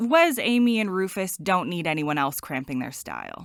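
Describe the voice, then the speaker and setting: A woman with an American accent speaks with very wide pitch swings. The sound is dry and close with no echo. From United States. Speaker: travel vlogger. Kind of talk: scripted narration.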